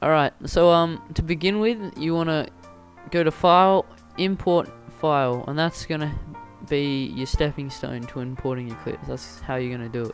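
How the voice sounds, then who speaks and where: A man with a fairly high voice speaks over music in the background. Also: ordinary pitch variation, moderate pace. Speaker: video editing tutorial maker. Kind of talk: software tutorial narration. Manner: stuttering, hesitant with many fillers.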